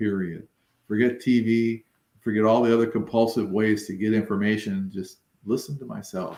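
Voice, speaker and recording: A man speaks at a moderate pace and medium pitch. He has an ordinary speaking voice. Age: 60s. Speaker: weight-loss interviewee. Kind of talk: interview.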